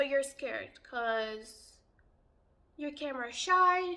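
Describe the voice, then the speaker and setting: A woman speaks in a raised, projected voice with a bright, sharp tone. Her pace is very slow and her pitch varies in an ordinary way. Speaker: youtuber. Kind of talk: monologue to camera.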